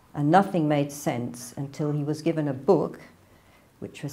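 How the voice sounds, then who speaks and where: A woman's very deep, low voice, dark and mellow, with a northern English accent and fairly even intonation. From northern England, near Manchester. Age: 60s. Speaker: convert telling her story. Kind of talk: testimony.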